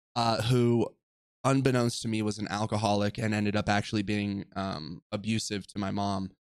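With an American accent, a man talks at a moderate pace. His pitch is fairly low, with ordinary variation. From Southern California (Orange County). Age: 20s. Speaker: podcast host. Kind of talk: personal storytelling monologue. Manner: casual, filler-heavy.

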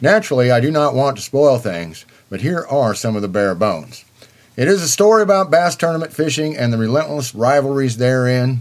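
At a moderate pace and with lively intonation, this is a normal speaking voice. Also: man. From eastern Kansas. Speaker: fishing book reviewer. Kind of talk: book review.

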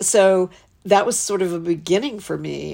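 A woman's plain, everyday voice in an American accent, with fairly even intonation at a moderate pace, on a very clean recording with a silent background. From Western North Carolina. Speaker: arts leader. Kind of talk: interview.

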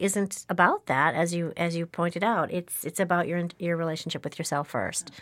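A normal speaking voice from a woman, fairly low in pitch, at a fairly quick pace with ordinary pitch variation. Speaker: podcast host. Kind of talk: interview conversation. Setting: studio.

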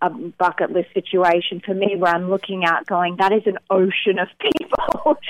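A woman speaks with an Australian accent at a medium pitch. Her intonation stays fairly even, and her pace is moderate. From Melbourne, Australia. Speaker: singer-songwriter. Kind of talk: radio interview, casual chat.

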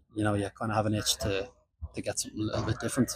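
In an Irish accent, a man speaks with a fairly low, somewhat breathy voice and monotone, flat intonation. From Ireland. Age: 20s. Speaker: professional footballer. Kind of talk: interview.

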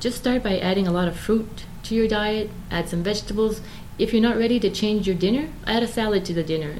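With audible room echo and noticeable background noise, a woman talks at a fairly quick pace and a fairly high pitch, with ordinary pitch variation. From Moncton, New Brunswick, Canada. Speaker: vegan interviewee. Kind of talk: casual interview.

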